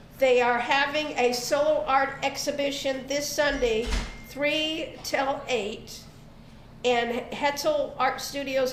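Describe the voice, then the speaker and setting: Over noticeable background noise and audible room echo, a woman with a Southern US accent speaks very slowly in a high pitch with monotone, flat intonation. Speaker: arts and crafts show host. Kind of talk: casual chat.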